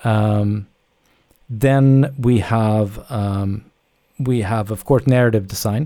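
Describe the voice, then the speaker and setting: Speaking at a very slow pace with long, frequent pauses, a man uses a fairly low pitch, a dark, mellow tone and fairly even intonation on a very clean recording with a silent background. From Sweden. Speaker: video game director. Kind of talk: interview. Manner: hesitant with frequent fillers.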